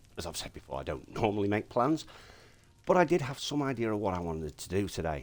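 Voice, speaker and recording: A man with a very deep, low voice and vocal fry makes very wide pitch swings. The recording is very clean, with a silent background. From Yorkshire, England. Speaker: Minecraft streamer. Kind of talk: casual gameplay commentary.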